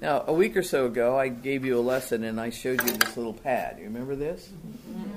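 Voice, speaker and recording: Very fast speech over noticeable background noise. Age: 70s. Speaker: Bible teacher. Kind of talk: sermon. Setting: church.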